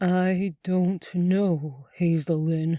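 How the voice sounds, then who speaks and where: Someone puts on a character voice at a middle pitch. The recording is very clean, with a silent background. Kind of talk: spooky theatrical showman voice. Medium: read story.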